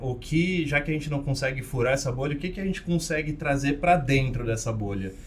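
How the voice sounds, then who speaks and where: Noticeable background noise and audible room echo surround the voice. The pitch varies in an ordinary way. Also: man. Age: 20s. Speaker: co-host of a table tennis podcast. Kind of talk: casual podcast chat.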